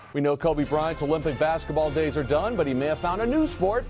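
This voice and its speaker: A man with a fairly high pitch and an upbeat tone, ordinary pitch variation, music playing in the background. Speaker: sports news anchor. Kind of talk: TV sports news broadcast. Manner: upbeat, fast, conversational.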